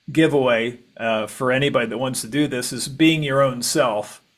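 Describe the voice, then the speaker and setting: A man speaks at a moderate pace with fairly even intonation and a fairly high pitch. It is a plain, everyday voice on a very clean recording with a silent background. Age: 60s. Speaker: podcast host. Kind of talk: casual interview chat.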